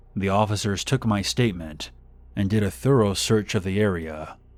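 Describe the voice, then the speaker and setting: This man has an unremarkable speaking voice with ordinary pitch variation. The recording is very clean, with a silent background. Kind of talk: horror story narration.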